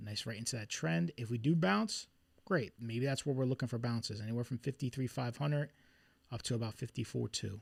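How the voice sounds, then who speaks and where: With a Philadelphia accent, a man speaks at a fairly quick pace in a medium, somewhat breathy voice with ordinary pitch variation, on a very clean recording with a silent background and a dry, close sound with no echo. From Philadelphia, US. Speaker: trader streaming market analysis. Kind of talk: live stream chart analysis. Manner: casual, conversational.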